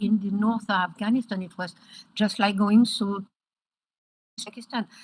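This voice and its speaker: A woman speaks in a somewhat breathy voice with a French accent. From France. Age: 70s. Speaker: education advocate. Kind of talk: interview. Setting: video call.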